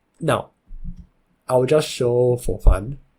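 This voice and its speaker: There is a dark, mellow tone to this man's somewhat breathy voice. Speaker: Chinese chess tutor. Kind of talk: game tutorial narration.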